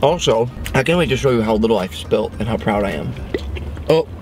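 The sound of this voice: Clear background noise sits behind a man with a medium pitch. His intonation is lively and his pace fairly quick.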